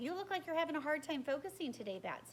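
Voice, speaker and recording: A woman in a put-on character voice, squeaky and high-pitched, rattles along at a very fast pace with lively intonation over clear background noise. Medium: read story. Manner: patient, good-humored.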